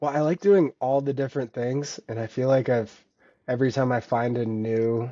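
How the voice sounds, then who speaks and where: A plain, everyday voice, moderately paced, its intonation fairly even. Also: man. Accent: American. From US Pacific Northwest (Vancouver, Washington). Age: 30s. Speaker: thru hiker and ultra runner. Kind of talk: casual interview.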